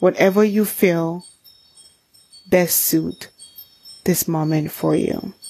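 A woman with a soothing, gentle tone and fairly even intonation speaks at a very slow pace, with long, frequent pauses. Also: fairly low pitch for a woman. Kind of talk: guided meditation. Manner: soothing, slow and gentle, with calm pauses and direct, intimate address.

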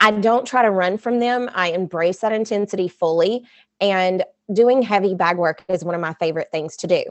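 A woman's unremarkable speaking voice at medium pitch, in an American accent, at a moderate pace with ordinary pitch variation. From US South. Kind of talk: casual interview.

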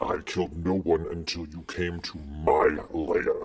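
A man's put-on character voice, very deep and low, growling at a fairly slow pace. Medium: actual play. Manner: stern, blunt, territorial.

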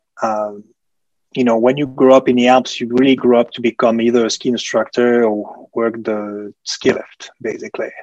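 A man at medium pitch and moderate pace, monotone and flat, in a dry, close sound with no echo. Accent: French. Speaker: hotel sales professional. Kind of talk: casual interview chat.

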